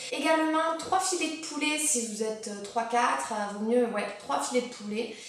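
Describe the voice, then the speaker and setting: Audible room echo surrounds a woman talking at a high pitch. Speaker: lifestyle vlogger. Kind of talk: casual vlog chat. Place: home room. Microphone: camera far.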